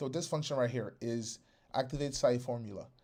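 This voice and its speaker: Speaking at a fairly quick pace, a man has an unremarkable speaking voice. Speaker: software developer hosting a webinar. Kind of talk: live webinar tutorial. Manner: casual, filler-heavy.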